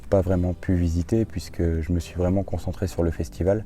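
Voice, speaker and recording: Very deep and low, this man's voice is somewhat breathy. He keeps a moderate pace and fairly even intonation. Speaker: travel vlogger. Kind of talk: casual vlog narration. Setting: outdoors in a garden. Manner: hesitant, many fillers.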